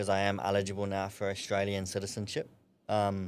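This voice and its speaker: Here is a man with a New Zealand accent. His pitch is fairly low. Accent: New Zealand twang. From New Zealand, Napier. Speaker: amateur boxer. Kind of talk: podcast interview.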